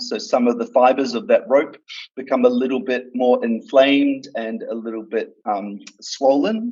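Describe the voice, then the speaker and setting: A man with an Australian accent at a moderate pace. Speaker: doctor. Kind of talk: interview. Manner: halting, many fillers.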